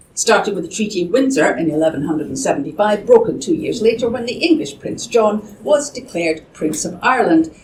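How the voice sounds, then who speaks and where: A woman speaks with a Scottish accent and very wide pitch swings. Noticeable background noise is present. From Scotland. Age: 60s. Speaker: campaign co-founder. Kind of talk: speech. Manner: formal.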